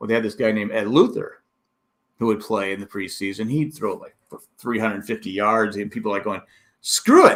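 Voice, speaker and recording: A man with a plain, everyday voice speaks at a fairly quick pace in a fairly low pitch, his intonation fairly even. His loudness swings widely, on a very clean recording with a silent background. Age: 60s. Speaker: sports podcast host. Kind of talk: casual chat.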